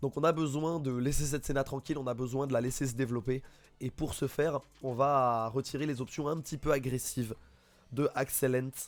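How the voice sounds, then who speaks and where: A man at medium pitch talks at a fairly quick pace in a monotone, flat intonation. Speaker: esports caster. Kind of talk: live commentary.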